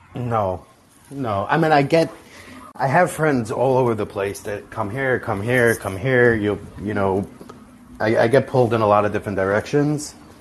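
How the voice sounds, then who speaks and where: Speaking at a moderate pace with an American accent, a man uses an ordinary speaking voice at medium pitch with ordinary pitch variation. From New York City (Far Rockaway). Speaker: caller, entrepreneur. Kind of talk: casual chat.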